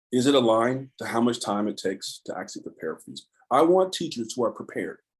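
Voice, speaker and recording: Ordinary pitch variation in a man's voice at medium pitch. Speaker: education advocate. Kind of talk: online panel talk. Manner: fast; animated.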